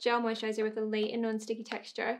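A woman speaks in a high voice with a Scottish accent. Her tone is enthusiastic. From Scotland. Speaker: beauty YouTuber. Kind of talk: casual talk to camera. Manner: chatty, enthusiastic. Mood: excited, enthusiastic. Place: home room.

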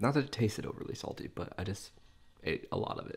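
Somewhat breathy, a man speaks very fast with a fairly low pitch and a dark, mellow tone. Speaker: food video creator. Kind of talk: casual vlog chat while eating.

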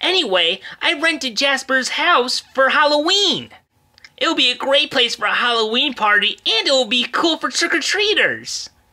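In a cartoonish character voice, a female-sounding speaker uses a high pitch at a moderate pace. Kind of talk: comic puppet sketch. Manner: upbeat, bossy.

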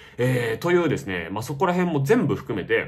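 Vocal fry runs through a man's very fast speech. His pitch swings very widely throughout. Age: 30s. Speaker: YouTube film reviewer. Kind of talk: unscripted monologue commentary. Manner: halting, many fillers.

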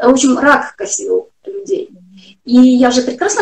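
A woman's high-pitched voice at a moderate pace, with a quiet background. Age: 40s. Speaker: health blogger. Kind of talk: interview. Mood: earnest, personal. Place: home room. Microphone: video call.

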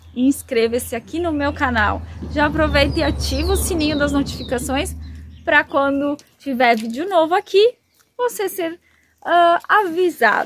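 With lively intonation and a high pitch, a woman talks at a moderate pace over light background noise. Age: 30s. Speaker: YouTuber. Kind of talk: vlog monologue. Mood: warm, grateful. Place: open country. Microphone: phone near.

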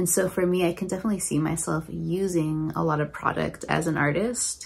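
A woman speaks at a fairly quick pace. Her pitch is fairly low, with ordinary pitch variation. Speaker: planner crafter vlogger. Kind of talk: casual vlog chat. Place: home room. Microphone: phone near.

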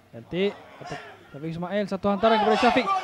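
A man is speaking. Crowd noise carries in the background. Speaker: football commentator. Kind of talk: live football commentary. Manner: rapid-fire, clipped play-by-play; animated, exclaiming at near-misses.

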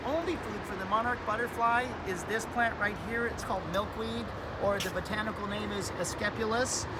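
Moderate pacing from a man amid loud background noise. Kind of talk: tutorial. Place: garden. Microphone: phone near.

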